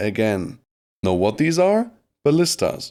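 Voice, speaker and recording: Pitch swings very widely as a man keeps a moderate speed. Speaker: gaming youtuber. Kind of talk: gameplay commentary. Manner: casual, joking.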